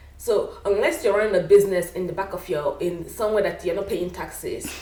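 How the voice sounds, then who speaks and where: A woman talks at a fairly quick pace with a Nigerian accent. Noticeable background noise and audible room echo fill the recording. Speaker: wig maker, business owner. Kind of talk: casual interview chat.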